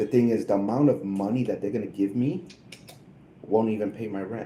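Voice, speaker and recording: At a fairly quick pace, a man with a fairly low pitch speaks in an unremarkable speaking voice with ordinary pitch variation. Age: 50s. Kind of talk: casual chat.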